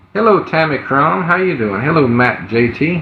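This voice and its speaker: With an American accent, a man speaks at a moderate pace through audible room echo and noticeable background noise. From US Gulf Coast. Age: 20s. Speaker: livestreamer asking for donations. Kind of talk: livestream chat. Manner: hesitant, many fillers.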